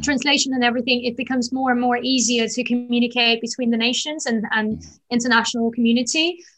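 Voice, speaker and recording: A woman speaks with a slight London accent in a high voice. Her intonation stays fairly even. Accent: London-tinged English. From Azerbaijan. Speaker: founder of a feminist platform. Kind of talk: interview.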